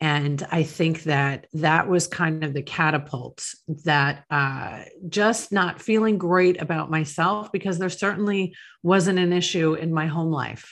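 An unremarkable speaking voice with an American accent moves at a fairly slow pace with ordinary pitch variation against a quiet background. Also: woman, fairly low pitch for a woman. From Long Island, New York. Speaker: author and speaker on addiction recovery. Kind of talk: interview, personal testimony.

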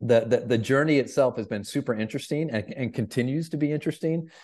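Against a quiet background, a man with an American accent speaks in a dark, mellow tone with ordinary pitch variation. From Michigan, Flint. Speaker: leadership coach and improv comedian. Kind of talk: interview.

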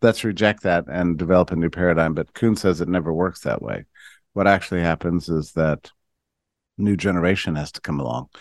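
Against a quiet background, a man with a very deep, low pitch talks at a fairly quick pace with ordinary pitch variation in a dry, close sound with no echo. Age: 50s. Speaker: writer and think-tank founder. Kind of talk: interview conversation. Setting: radio show.

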